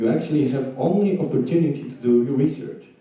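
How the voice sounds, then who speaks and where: A man speaks with a Polish accent and ordinary pitch variation. Noticeable background noise and audible room echo fill the recording. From Poland. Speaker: audience member, PhD-level researcher. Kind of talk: audience question.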